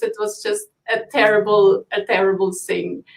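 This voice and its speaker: A woman with a non-native accent talks at a very slow pace. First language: not English. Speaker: business owner. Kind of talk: live stream interview. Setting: live video stream.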